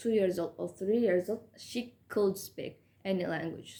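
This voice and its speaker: A woman speaks with a non-native accent at a medium pitch. Her tone is dark and mellow. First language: not English. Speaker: English learner, student. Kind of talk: educational talk to camera. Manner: halting, many fillers.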